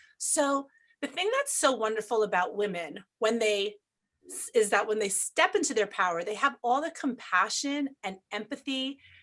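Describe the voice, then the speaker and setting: Speaking with an American accent, a woman talks at a fairly slow pace with lively intonation. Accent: New York, slightly diluted. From New York. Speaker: family law attorney and mediator. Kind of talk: interview.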